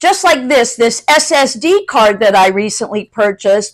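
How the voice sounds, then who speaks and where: Her pitch high and her intonation lively, a woman speaks at a fairly slow pace. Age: 60s. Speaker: YouTube content creator. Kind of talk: casual tutorial to camera. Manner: conversational.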